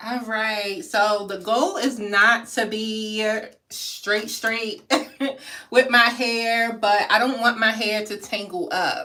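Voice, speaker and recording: Her pitch is fairly high, with a bright, sharp tone and ordinary pitch variation. This woman talks at a very slow pace. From Maryland. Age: 30s. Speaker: hair vlogger. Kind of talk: casual livestream chat.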